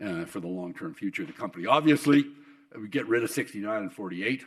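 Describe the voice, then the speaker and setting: This man talks at a very fast pace in a western Canadian accent. His intonation is lively. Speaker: oil industry executive and keynote speaker. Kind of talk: keynote speech. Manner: halting with many repetitions.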